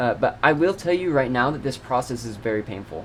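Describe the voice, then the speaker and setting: Using a plain, everyday voice, the man talks fairly quickly at a medium pitch. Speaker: self-improvement YouTuber. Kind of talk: scripted motivational monologue.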